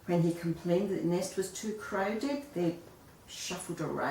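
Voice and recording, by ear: The words are read aloud in a natural voice.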